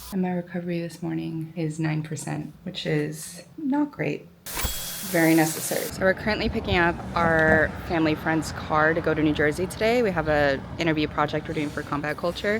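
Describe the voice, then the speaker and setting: A woman with a very deep, low pitch, fairly even intonation and a fairly quick pace, set against noticeable background noise. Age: 30s. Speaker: YouTuber. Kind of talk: vlog narration.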